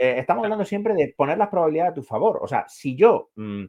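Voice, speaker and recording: A man with an Andalusian accent speaks at a very fast pace, with vocal fry. His pitch swings very widely. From Andalusia, Granada. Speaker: psychologist. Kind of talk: casual chat. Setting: live stream.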